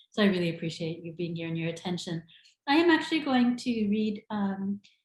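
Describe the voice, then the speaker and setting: A woman speaks at a medium pitch in a somewhat breathy voice. Her pitch swings very widely and her loudness swings a lot. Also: fairly quick pace. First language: Sinhala. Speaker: author. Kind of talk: literary reading; casual talk to audience.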